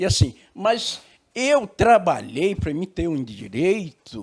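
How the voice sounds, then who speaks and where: A man's fairly high voice shows vocal fry and very wide pitch swings. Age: 70s. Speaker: retired talk show debater. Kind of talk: talk show debate.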